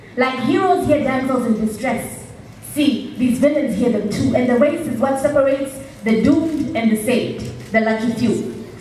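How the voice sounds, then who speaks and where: A woman speaks at a high pitch with an animated, theatrical tone and ordinary pitch variation. Audible room echo and light background noise are present. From Zambia. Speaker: slam poet. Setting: stage with audience. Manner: animated, emphatic and punchy, with a theatrical build and dramatic pauses. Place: stage. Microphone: pa.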